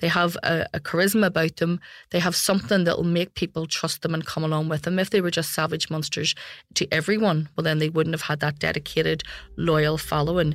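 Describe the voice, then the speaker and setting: A woman with a Belfast accent speaks at a fairly quick pace with very even loudness and fairly even intonation. The recording is very clean, with a silent background. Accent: Belfast Northern Irish. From Belfast, Northern Ireland. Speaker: security journalist. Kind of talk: interview.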